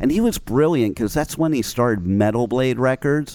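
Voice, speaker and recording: A man speaks with lively intonation in an American accent. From New Jersey. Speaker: internet radio host. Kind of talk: radio interview, casual chat. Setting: internet radio studio interview. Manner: animated, enthusiastic.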